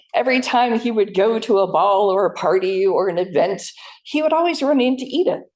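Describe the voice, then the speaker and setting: With an American accent, a woman talks at a fairly quick pace and a fairly high pitch, her pitch swinging very widely. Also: very even loudness. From US Northeast, New Jersey. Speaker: historical society staff, former tour guide. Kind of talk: public history presentation.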